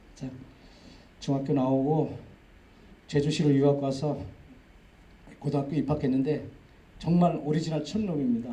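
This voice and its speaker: A somewhat breathy male voice with a dark, mellow tone, long, frequent pauses and audible room echo. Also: fairly high pitch for a man, fairly even intonation, moderate pace. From Jeju, South Korea (Aewol, rural). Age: 50s. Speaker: agricultural cooperative executive, lecturer. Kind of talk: public lecture, personal life story. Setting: lecture hall with audience. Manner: conversational, with fillers.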